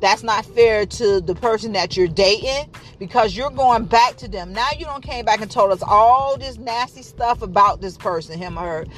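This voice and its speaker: A woman's fairly high voice with big swings in loudness and hardly any pauses, over noticeable background noise. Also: ordinary pitch variation, moderate pace. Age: 20s. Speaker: podcast host. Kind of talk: casual monologue.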